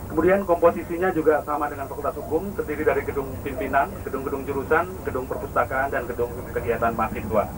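Over noticeable background noise, a man talks at a very fast pace with lively intonation and hardly any pauses. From Indonesia. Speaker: project manager briefing university leaders. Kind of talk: institutional site briefing, like 1980s film narration. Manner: formal, measured, explanatory; matter-of-fact, rattling off figures, with filler pauses. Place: bus.

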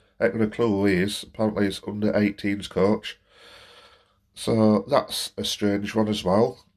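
In a quiet background, a man speaks at a fairly slow pace with a fairly low pitch and monotone, flat intonation. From Barnsley, South Yorkshire. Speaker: football fan and gaming vlogger. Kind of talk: angry football rant vlog. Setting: solo home recording to camera. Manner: venting, exasperated, fed-up; rambling, hesitant with many fillers. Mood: frustrated, disappointed. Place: home room. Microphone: phone near.

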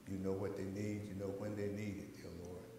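A fairly low-pitched man at a moderate pace, with monotone, flat intonation, audible room echo and noticeable background noise. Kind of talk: church announcements and prayer. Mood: calm, reverent. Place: church. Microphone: lapel.

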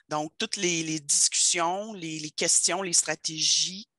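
Speaking at a very slow pace, a woman with a fairly low pitch keeps her intonation fairly even, and the sound is dry and close with no echo. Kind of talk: online meeting discussion.

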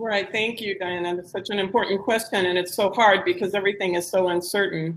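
In an American accent, a woman speaks at a medium pitch with monotone, flat intonation. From United States. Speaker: social entrepreneur. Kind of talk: panel discussion.

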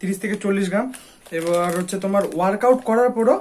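With ordinary pitch variation, a man talks at a high pitch over noticeable background noise. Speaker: fitness YouTuber. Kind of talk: casual tutorial to camera. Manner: animated.

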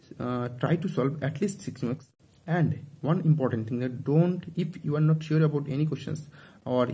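A somewhat breathy male voice with a dark, mellow tone, fairly quick pace and ordinary pitch variation. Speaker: exam coaching student. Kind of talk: casual advice talk. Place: home room. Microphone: phone near.

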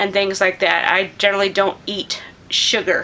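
Medium pitch from a woman speaker. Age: 40s. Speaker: homestead gardening vlogger. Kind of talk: casual chat; tutorial. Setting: living room. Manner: hesitant, many filler words. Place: home room. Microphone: phone near.

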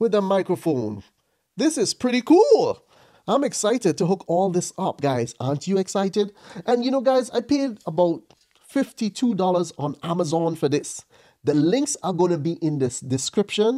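Against a quiet background, a man with a dark, mellow tone speaks at a moderate pace, his pitch swinging very widely. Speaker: product reviewer. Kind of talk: casual review vlog. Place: home room. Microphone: studio mic.

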